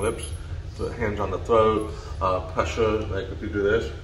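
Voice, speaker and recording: Over noticeable background noise and audible room echo, a man speaks in an American accent. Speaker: deaf real estate agent. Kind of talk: personal story vlog. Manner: flat intonation.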